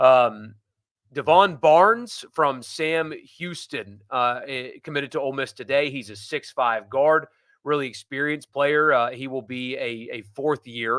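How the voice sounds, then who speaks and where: In a very clean recording with a silent background, a man with an unremarkable speaking voice talks at a fairly slow pace, his fairly high pitch varying in an ordinary way while his loudness swings widely. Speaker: sports podcast host. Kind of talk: live sports talk show.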